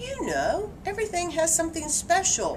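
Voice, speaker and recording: A squeaky put-on character voice speaks at a moderate pace. Background noise is clearly audible. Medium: read story. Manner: eager, dramatic.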